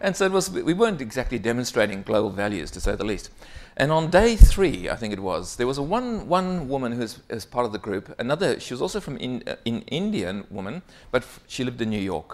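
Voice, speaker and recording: A man with a South African accent, big swings in loudness and very wide pitch swings. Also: medium pitch for a man, fairly quick pace. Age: 50s. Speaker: keynote speaker. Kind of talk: conference keynote. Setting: stage with audience. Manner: animated.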